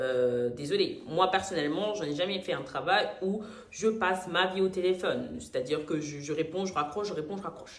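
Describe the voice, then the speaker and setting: A woman speaks at a moderate pace in a medium pitch, her tone animated and her intonation lively, with big swings in loudness, noticeable background noise and audible room echo. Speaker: vlogger, call-centre worker. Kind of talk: casual storytime vlog.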